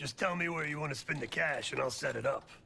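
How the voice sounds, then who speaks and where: A man puts on a raspy character voice at a fairly high pitch, racing at a very fast pace over clear background noise. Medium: video game. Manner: measured, matter-of-fact.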